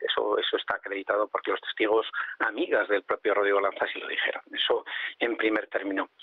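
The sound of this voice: A man at fairly low pitch with a slightly husky edge, little pitch movement and a fairly quick pace, in a dry, close sound with no echo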